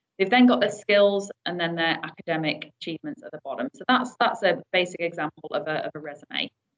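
A woman's unremarkable speaking voice at a fairly quick pace, with hardly any pauses and big swings in loudness. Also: medium pitch for a woman, lively intonation. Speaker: recruitment manager, webinar presenter. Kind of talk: webinar presentation. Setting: online webinar call.

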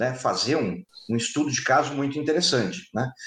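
Audible room echo surrounds a man whose voice is somewhat breathy and fairly high in pitch. He keeps a moderate pace with lively intonation. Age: 50s. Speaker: public security expert and firearms instructor. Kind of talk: interview.

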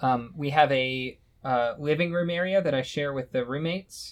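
A man's unremarkable speaking voice, fairly high in pitch, with fairly even intonation. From Texas. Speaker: retro hardware modder. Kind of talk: casual chat. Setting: video call.

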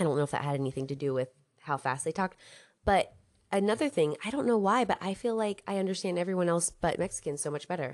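A woman speaks at a very fast pace in a fairly low pitch, with lively intonation and a quiet background. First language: English (learning Spanish). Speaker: podcast co-host, language learner. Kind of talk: casual chat.

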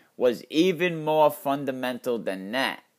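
The recording is very clean, its background silent. A man talks fairly slowly, his pitch shifting in an ordinary way. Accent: Connecticut. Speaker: podcast host. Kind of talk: storytelling narration.

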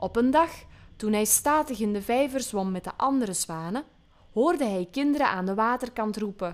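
What we hear is plain reading aloud.

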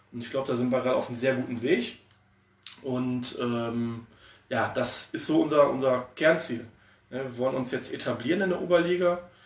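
There is audible room echo in this recording. A man speaks at a medium pitch. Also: ordinary pitch variation, moderate pace. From Oberhausen, Ruhr area, Germany. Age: 30s. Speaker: amateur football assistant coach. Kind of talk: casual interview. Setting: remote call.

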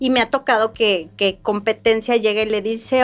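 Here is an ordinary speaking voice at a moderate pace. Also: woman. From Mexico, Querétaro. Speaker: tourism business owner. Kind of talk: interview.

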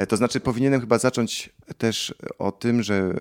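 This is a man on a very clean recording with a silent background. The sound is dry and close, with no echo. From Poland. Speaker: organist. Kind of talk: interview. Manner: halting, with fillers and repetitions.

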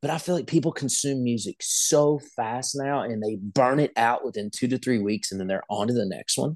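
A man with an American accent has an unremarkable speaking voice at medium pitch with ordinary pitch variation. He keeps a moderate pace with hardly any pauses, and the sound is dry and close with no echo. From West Virginia. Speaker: country singer. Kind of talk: casual interview chat.

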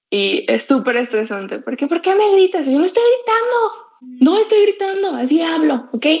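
Delivered at a moderate pace with hardly any pauses, the voice swings very widely in pitch. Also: woman, extremely high pitch for a woman. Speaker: podcast co-host, university student. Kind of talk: casual chat. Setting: online voice call. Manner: loud, blunt-sounding.

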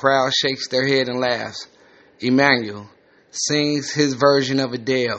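A natural voice reads the words aloud.

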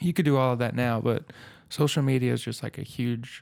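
Here a man talks at a moderate pace at a medium pitch. He has a normal speaking voice and fairly even intonation. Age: 20s. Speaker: podcast host. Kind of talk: casual chat.

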